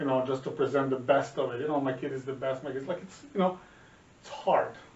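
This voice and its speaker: Amid noticeable background noise, a man with a Serbian accent speaks at a fairly high pitch with fairly even intonation. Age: 40s. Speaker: podcast co-host, father. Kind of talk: casual chat. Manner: halting, many repetitions and fillers.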